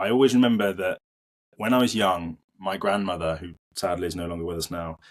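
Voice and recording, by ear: A man speaks low for his sex at a fairly quick pace. His intonation stays fairly even.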